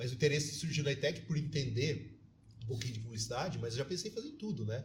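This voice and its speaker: A man's fairly high voice at a very fast pace, with vocal fry and ordinary pitch variation. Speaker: teacher and city councillor. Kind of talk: podcast interview.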